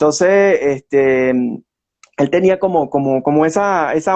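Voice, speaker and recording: A man's plain, everyday voice, fairly high in pitch, with ordinary pitch variation. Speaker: historian. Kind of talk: interview.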